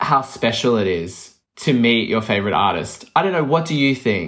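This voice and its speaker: This man has a medium-pitched voice that swings very widely up and down. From Australia, Melbourne. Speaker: podcast host, vinyl collector. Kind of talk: casual chat.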